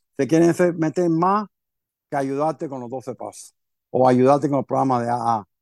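This man's voice sits fairly high, with normal pitch variation. The sound is close and dry, with no echo. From Cuba, raised in Miami from age seven. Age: 50s. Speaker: recovering alcoholic sharing his story. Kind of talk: personal testimony in interview. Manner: halting, many repetitions and fillers.

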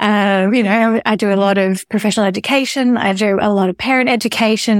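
Here a woman of medium pitch talks at a moderate pace with fairly even intonation. The recording is very clean with a silent background, and the sound is dry and close with no echo. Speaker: speech therapist. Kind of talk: interview conversation.

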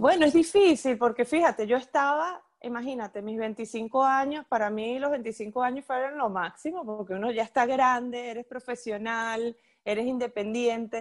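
Speech comes at a moderate pace with ordinary pitch variation in a very clean recording with a silent background. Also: woman, high pitch for a woman. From Venezuela, Puerto Ordaz (Ciudad Guayana). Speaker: event producer. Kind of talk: casual interview. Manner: animated, with many repetitions.

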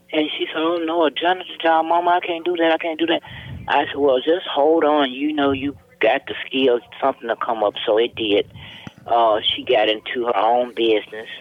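A woman with a very deep, low voice and lively intonation, at a moderate pace, amid noticeable background noise. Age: 70s. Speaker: mother of murder victim. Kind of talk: personal testimony interview.

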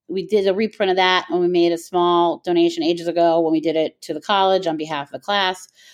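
Speaking very fast with hardly any pauses, a woman has an American accent. Her fairly low voice stays in monotone, flat intonation. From US South, Miami, Florida. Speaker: podcast host and alumni network founder. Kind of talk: interview.

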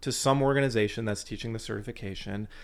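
The man speaks at medium pitch with an American accent. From US Midwest (Fort Wayne, Indiana). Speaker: bass trombonist and musician wellness coach. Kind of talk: interview. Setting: in person in Nashville.

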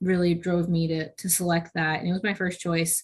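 A somewhat breathy woman with an American accent, medium-pitched, at a moderate pace against a quiet background. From New York, with six childhood years in England. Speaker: army officer, combat engineer. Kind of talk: interview conversation.

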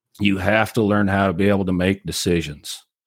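In an American accent, a man with a normal speaking voice talks at a moderate pace and a fairly low pitch. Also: very clean recording, silent background. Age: 40s. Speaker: cattle rancher and marketing teacher. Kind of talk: interview.

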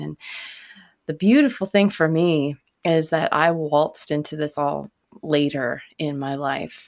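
A woman's very deep, low voice with a dry, close sound and no echo. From Nova Scotia, Canada. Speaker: singer-songwriter. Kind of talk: casual interview chat.

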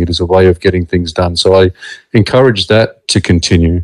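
In a very clean recording with a silent background, a man with an Australian accent speaks with ordinary pitch variation. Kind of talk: interview. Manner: calm.

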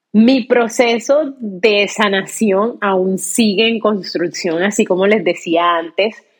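A woman speaks at a very slow pace, her medium pitch showing ordinary variation. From Colombia, Cartagena (Caribbean coast). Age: 30s. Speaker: podcast host. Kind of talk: personal monologue.

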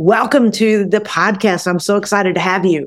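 A woman speaks in an unremarkable speaking voice at a moderate pace. The recording is very clean, with a silent background. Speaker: podcast host and coach. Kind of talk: casual interview. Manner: warm, encouraging.

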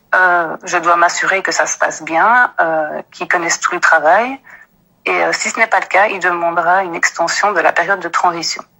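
A woman with a Belgian accent, fairly low-pitched, with fairly even intonation at a moderate pace. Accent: Belgian French, noticeable. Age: 30s. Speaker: office employee. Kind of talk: personal account.

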